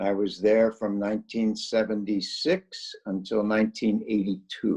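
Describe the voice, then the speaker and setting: A man with a Midwestern accent, at a fairly slow pace. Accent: general American (Midwest). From US Midwest, northeast Ohio. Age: 70s. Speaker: retired psychology professor. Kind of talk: interview. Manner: halting, with many fillers.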